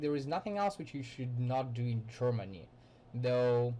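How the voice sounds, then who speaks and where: This man's voice sits at a medium pitch and is somewhat breathy. Its tone is dark and mellow. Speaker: student. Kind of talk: class presentation. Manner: halting.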